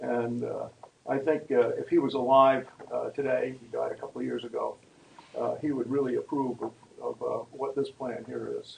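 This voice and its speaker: A man talks over noticeable background noise. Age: 80s+. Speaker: town meeting participant. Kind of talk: public meeting comment. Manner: halting.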